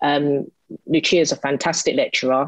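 A woman talks at a moderate pace with ordinary pitch variation, the sound dry with no echo and the background quiet. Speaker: mature university student. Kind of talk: testimony. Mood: enthusiastic, positive. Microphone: video call.

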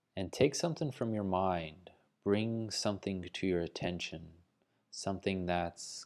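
A soft-spoken man with a calm, soothing tone and fairly even intonation. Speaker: meditation guide. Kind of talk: guided meditation. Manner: slow, soft-spoken, soothing; calm, gently paced with long pauses. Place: home room. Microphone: earbuds.

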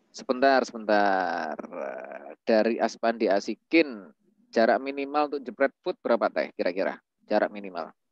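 An unremarkable speaking voice with lively intonation moves at a moderate pace, the sound dry with no echo and the background quiet. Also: man, medium pitch for a man. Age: 30s. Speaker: webinar moderator. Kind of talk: online class moderation. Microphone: video call.

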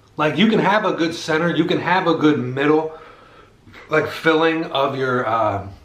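Room echo surrounds a man speaking at a fairly slow pace. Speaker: food reviewer. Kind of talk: casual food review chat. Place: home room.

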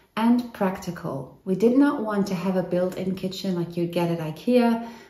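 A woman talks at a fairly slow speed in a space with audible room echo. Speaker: home renovation vlogger. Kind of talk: casual vlog chat. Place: kitchen. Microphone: phone near.

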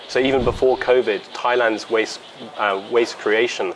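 A man talks at a moderate pace. There is light noise in the background. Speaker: interviewee. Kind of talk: interview answer. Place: garden. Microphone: lapel.

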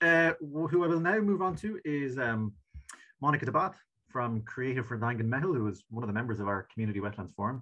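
Against a quiet background, a man with an Irish accent speaks at a very fast pace in a bright, sharp, medium-pitched voice. His pitch makes very wide swings. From Ireland. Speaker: session chair. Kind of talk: online conference moderation; meeting moderation. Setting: video call. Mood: warm, appreciative. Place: home room. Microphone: webcam.

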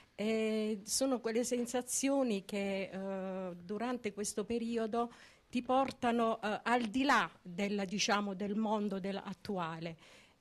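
The pace is very slow and the intonation fairly even. A woman speaks at a fairly high pitch. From Taranto, Apulia, Italy; Apulia, Italy. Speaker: lay sister of a brotherhood. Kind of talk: interview. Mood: earnest, devotional. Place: church. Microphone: handheld.

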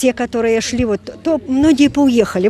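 A woman speaks at a moderate pace with a fairly high pitch. The sound is dry with no echo, over light background noise. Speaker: pilgrim. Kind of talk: interview. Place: street. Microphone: handheld.

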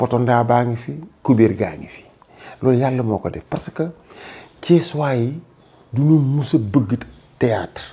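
In a dark, mellow, somewhat breathy tone, a man speaks at a very slow pace with long, frequent pauses, big swings in loudness and ordinary pitch variation. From Senegal, Thiès. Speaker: actor and retired teacher. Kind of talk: interview. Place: home room. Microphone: lapel.

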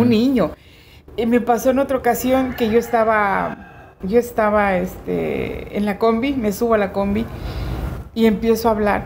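Against light background noise, a woman speaks at a fairly slow pace in a fairly high pitch with monotone, flat intonation. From Chiapas, Mexico. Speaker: radio announcer. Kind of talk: interview answer. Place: garden.

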